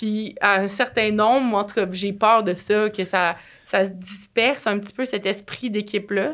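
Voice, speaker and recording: A woman with a Quebec accent and fairly even intonation, on a very clean recording with a silent background. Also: medium pitch for a woman, fairly slow pace. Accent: Québécois French. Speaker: marketing agency entrepreneur. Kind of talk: casual interview.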